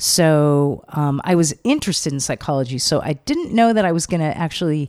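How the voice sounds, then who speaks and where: In a very clean recording with a silent background, a woman with a Californian accent speaks at a moderate pace with a very deep, low pitch, a dark, mellow tone and lively intonation. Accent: Californian American. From Los Angeles. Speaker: psychotherapist and author. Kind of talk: casual interview chat. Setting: in person.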